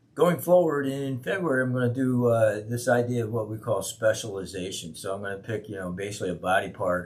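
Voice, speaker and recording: Noticeable background noise surrounds a man whose fairly low pitch and lively intonation move at a fairly quick pace. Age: 60s. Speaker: fitness trainer vlogger. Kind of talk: casual monologue update. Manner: casual with many fillers.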